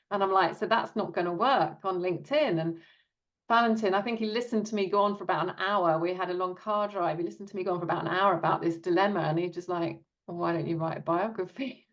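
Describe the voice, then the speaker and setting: Very fast speech with a British accent. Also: woman, medium pitch for a woman, ordinary pitch variation. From Britain. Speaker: author. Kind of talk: interview.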